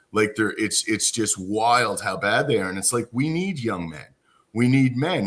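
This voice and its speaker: A man with an unremarkable speaking voice talks at a medium pitch and moderate pace with lively intonation, on a very clean recording with a silent background. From Cape Breton, Nova Scotia, Canada. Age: 40s. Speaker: podcast host. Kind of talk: casual interview chat. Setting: live stream.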